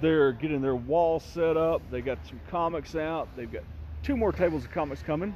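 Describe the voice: At a moderate pace, a man with a fairly high pitch speaks in a slightly mellow tone with ordinary pitch variation.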